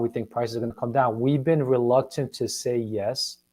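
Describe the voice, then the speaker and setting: Here a man has a normal speaking voice with a medium pitch. He keeps a moderate pace and ordinary pitch variation. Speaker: real estate agent. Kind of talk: casual market discussion.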